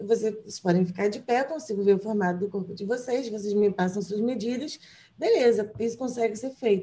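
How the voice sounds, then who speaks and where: This woman has a normal speaking voice with a fairly high pitch. She talks at a fairly quick pace with ordinary pitch variation. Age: 20s. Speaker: fashion stylist and journalist. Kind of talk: casual interview.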